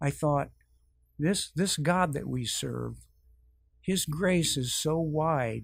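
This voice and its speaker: Somewhat breathy and fairly high, a man's voice moves at a very slow pace. Long, frequent pauses break up his speech. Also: ordinary pitch variation. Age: 60s. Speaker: church member sharing testimony. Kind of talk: testimony.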